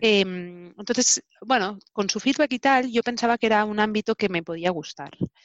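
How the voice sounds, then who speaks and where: An unremarkable speaking voice from a woman, fairly high in pitch with ordinary pitch variation, at a moderate pace with hardly any pauses and big swings in loudness. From Spain, Barcelona. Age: 30s. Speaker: telecommunications engineer. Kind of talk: interview. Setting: video recording.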